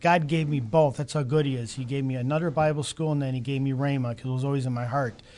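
In a Chicago accent, a man speaks at a very fast pace with fairly high pitch. His intonation is fairly even, and the background is quiet. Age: 50s. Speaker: Bible college student and restaurant owner. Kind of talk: testimony. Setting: studio with live audience.

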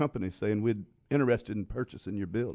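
A man with a Louisiana accent, a dark, mellow tone and ordinary pitch variation. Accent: US Southern (Louisiana). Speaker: pastor and evangelist. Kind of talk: interview conversation. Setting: studio.

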